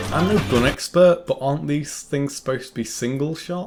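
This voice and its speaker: A man is speaking. He has a northern English accent. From northern England. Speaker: film reviewer. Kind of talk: scripted commentary review. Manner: casual, sweary.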